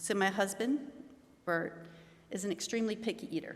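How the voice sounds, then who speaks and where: The speaker is a woman with an American accent. She talks at a fairly quick pace. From Maryland, Baltimore. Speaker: eulogy speaker, aunt of the deceased. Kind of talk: eulogy. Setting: memorial service in a venue. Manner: halting.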